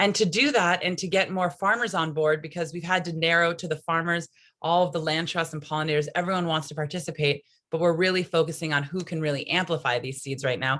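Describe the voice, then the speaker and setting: A woman's very fast speech with fairly even intonation. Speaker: native seed network representative. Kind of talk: conference presentation.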